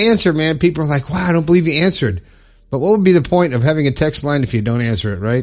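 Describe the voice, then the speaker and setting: Lively intonation and an animated tone mark this man's speech. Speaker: podcast host. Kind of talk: casual monologue. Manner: fast.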